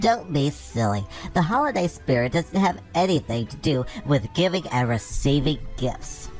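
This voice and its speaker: A cartoonish character voice at a low-to-middle pitch and moderate pace, with clear music in the background. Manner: eager, sweet.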